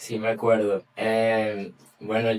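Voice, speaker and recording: A man with a Venezuelan accent speaks at a medium pitch over noticeable background noise. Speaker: journalist. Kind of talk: interview answer. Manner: casual, conversational.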